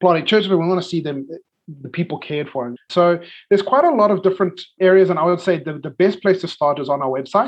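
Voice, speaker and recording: A man with a South African accent speaks with ordinary pitch variation. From South Africa, Cape Town. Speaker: missionary, ministry leader. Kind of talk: interview. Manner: hesitant, many fillers.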